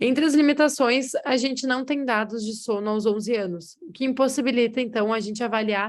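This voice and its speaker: Here a woman has an ordinary speaking voice. Her pitch is fairly high and her pace moderate. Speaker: researcher. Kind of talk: lecture.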